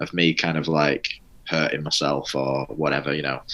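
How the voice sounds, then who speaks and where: Very deep and low in pitch, a man with a Mancunian accent talks with vocal fry and a bright, sharp tone. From northern England, Manchester. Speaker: podcast host in addiction recovery. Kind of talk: personal recovery testimony in interview. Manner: hesitant, many fillers and restarts.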